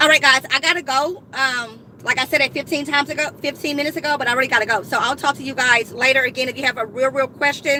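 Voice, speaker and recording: With an animated tone and a raised, projected voice, a woman talks very fast with hardly any pauses, using a high pitch, ordinary pitch variation, and noticeable background noise behind her. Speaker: couponing YouTuber. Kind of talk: live stream chat. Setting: in a car in a parking lot. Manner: loud.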